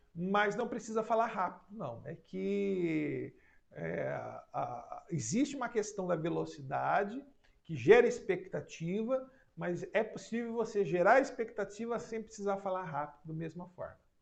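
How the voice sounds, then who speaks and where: A man talks at a fairly slow pace. His loudness rises and falls sharply. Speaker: psychoanalyst and hypnosis teacher. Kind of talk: online class live stream. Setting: live stream.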